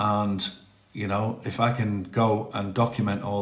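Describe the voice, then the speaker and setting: A man's fairly low voice holds a monotone, flat intonation, with audible room echo around it. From northern England. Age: 50s. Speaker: TikTok live streamer, ex-forces. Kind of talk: casual live-stream chat. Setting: TikTok live stream. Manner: halting, repeats words.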